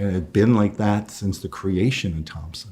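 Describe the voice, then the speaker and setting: A dark, mellow, somewhat breathy voice at a moderate pace with fairly even intonation. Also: man. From Ottawa, French-Canadian upbringing. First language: French. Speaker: retired police officer. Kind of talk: interview.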